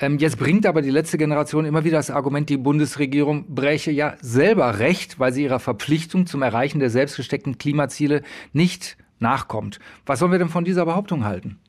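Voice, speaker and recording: Over a quiet background, a man with a fairly high pitch and ordinary pitch variation talks at a fairly quick pace. He has an ordinary speaking voice. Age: middle-aged. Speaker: podcast moderator. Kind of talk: moderated debate.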